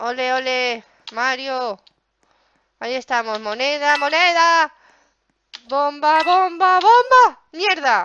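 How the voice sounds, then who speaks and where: A woman's high, bright, sharp voice, raised and projected, with lively intonation at a very slow pace and long, frequent pauses, in a dry sound with no echo over light background noise. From Spain, Zaragoza (Aragon). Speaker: gaming youtuber. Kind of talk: gameplay commentary. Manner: animated. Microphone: headset.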